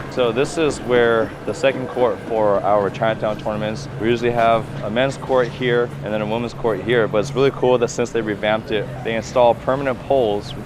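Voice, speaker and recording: A man with a Californian accent talks at a fairly quick pace with hardly any pauses. Music plays in the background. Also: medium pitch for a man. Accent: American (California). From San Francisco Bay Area, US. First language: Cantonese. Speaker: volleyball coach and vlogger. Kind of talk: vlog tour. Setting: outdoors. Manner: casual, upbeat.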